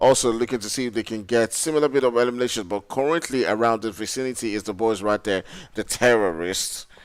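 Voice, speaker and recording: A man with a strong Nigerian accent talks at a very fast pace. His pitch is medium with ordinary variation, on a very clean recording with a silent background. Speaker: esports caster. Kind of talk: live commentary; casual chat.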